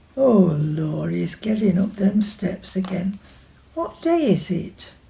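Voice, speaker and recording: A woman with a Sheffield accent speaks at a medium pitch with lively intonation. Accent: Sheffield Yorkshire dialect. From Sheffield, Yorkshire. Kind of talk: short story reading.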